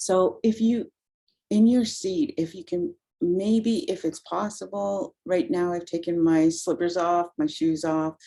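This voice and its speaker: Her tone is dark, mellow and calm. The woman's intonation is lively. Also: medium pitch for a woman. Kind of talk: guided meditation. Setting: video call. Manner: even tone; slow, calm.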